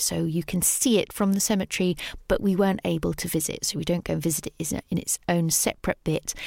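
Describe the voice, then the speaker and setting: A woman with a British accent speaks in a fairly low pitch, recorded very cleanly against a silent background. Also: dry, close sound with no echo. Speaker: podcast host. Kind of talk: scripted narration about a Paris cemetery, casual tone.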